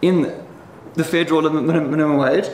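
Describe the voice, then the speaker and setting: Background noise is clearly audible. The speaker is a man. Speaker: economist debater. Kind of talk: debate presentation. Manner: halting, many fillers and repetitions.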